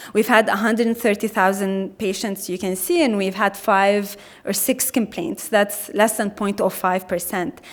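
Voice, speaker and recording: A woman speaks with hardly any pauses at a medium pitch. Her pitch variation is ordinary. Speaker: health equity coordinator, keynote speaker. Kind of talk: conference keynote talk. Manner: fast.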